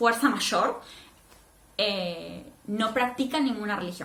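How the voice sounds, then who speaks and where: Fairly slow speech from a woman with a fairly high pitch and a Rioplatense accent, with audible room echo and noticeable background noise. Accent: Argentine Spanish (rioplatense). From Argentina, Neuquén (Patagonia). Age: 20s. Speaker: vlogger. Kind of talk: personal testimony vlog.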